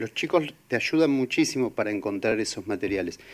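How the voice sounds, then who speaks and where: A man with a Rioplatense accent speaks with very wide pitch swings. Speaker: radio co-host. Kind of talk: radio show hosting.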